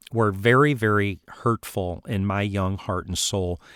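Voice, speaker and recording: On a very clean recording with a silent background and a dry, close sound with no echo, a man speaks at a fairly low pitch with ordinary pitch variation. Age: 50s. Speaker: podcast host and counselor. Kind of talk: personal testimony. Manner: halting.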